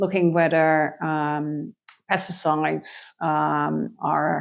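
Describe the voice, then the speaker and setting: On a very clean recording with a silent background, a woman with a Dutch accent speaks at a very slow pace. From Netherlands, Friesland. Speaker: biologist, co-founder of an education project. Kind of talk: interview. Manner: halting, many fillers.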